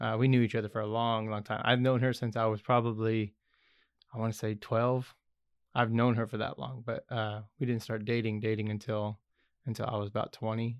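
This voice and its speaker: The man's voice sits at a medium pitch with flat, monotone intonation. He talks at a fairly quick pace. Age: 30s. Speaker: podcast host. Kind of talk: casual interview.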